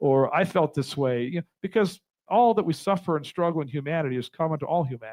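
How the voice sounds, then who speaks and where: An animated man at a fairly high pitch, with lively intonation and a very fast pace. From Compton, Los Angeles, US. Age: 60s. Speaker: drummer and author. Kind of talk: motivational talk.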